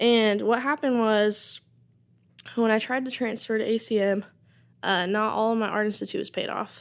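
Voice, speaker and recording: In a very clean recording with a silent background, a woman with an American accent talks at a moderate pace in a fairly high voice, with fairly even intonation and long, frequent pauses. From Oklahoma (Tulsa). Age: 20s. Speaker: songwriter and audio engineering student. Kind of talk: casual interview.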